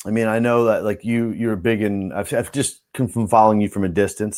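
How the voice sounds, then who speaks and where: A man speaks fairly quickly at a fairly low pitch, in an ordinary speaking voice. The recording is very clean, with a silent background. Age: 40s. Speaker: podcast host. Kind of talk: casual interview chat. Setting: live stream. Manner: casual, filler-heavy.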